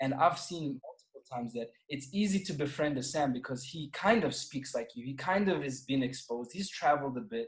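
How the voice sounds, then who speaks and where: A man with a South African accent talks at a fairly quick pace with hardly any pauses, a fairly high pitch and lively intonation. His loudness swings widely, with music in the background. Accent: South African accent, less typical than most. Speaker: podcast guest. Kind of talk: casual chat.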